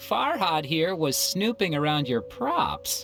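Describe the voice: A put-on character voice moves slowly through big pitch swings with a fairly bright tone. Faint music plays in the background. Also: woman, low pitch for a woman.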